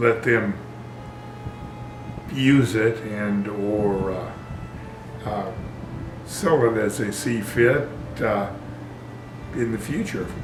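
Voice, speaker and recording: Over music in the background, a man talks very slowly in a medium pitch, with fairly even intonation and long, frequent pauses. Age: 80s+. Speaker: property owner. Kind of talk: interview answer.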